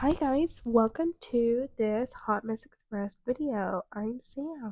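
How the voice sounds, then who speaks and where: A dark, mellow tone at a very slow pace, dry and close with no echo. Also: woman, fairly high pitch for a woman, ordinary pitch variation. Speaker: nail artist, beauty vlogger. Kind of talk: casual tutorial chat while painting. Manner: casual, chatty.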